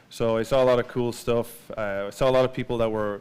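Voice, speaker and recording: Speaking at a very fast pace, a man with an Irish accent talks in a medium pitch. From Ireland. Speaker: marketing executive giving a talk. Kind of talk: conference presentation. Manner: casual with many fillers.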